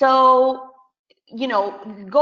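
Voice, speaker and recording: A woman talks in a Spanish accent. Her voice sits high. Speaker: business coach and podcast host. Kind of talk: webinar presentation. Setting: online webinar.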